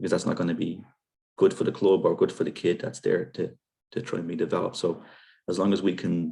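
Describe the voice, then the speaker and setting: The speaker talks at a very fast pace yet leaves long, frequent pauses. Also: man. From Ireland, Dublin. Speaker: youth football director. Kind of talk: podcast interview. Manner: hesitant, many fillers and repeats.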